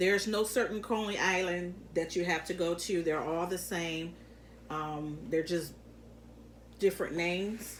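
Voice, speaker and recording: A woman speaks with an American accent at a fairly slow pace. Her intonation is fairly even, and the room echo is audible. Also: fairly low pitch for a woman. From Detroit, Michigan. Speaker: mukbang youtuber. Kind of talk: casual eating-show chat. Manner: halting with fillers.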